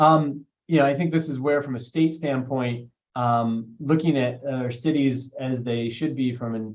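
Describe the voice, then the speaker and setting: A man, a normal speaking voice, moderate pace, and fairly even intonation. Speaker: state broadband official. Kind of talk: webinar panel talk.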